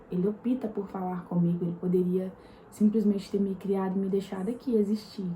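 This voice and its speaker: Her voice is soft-spoken and medium-pitched, with monotone, flat intonation. The woman talks at a fairly quick pace over noticeable background noise. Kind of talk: devotional talk to camera. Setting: home at night, apartment.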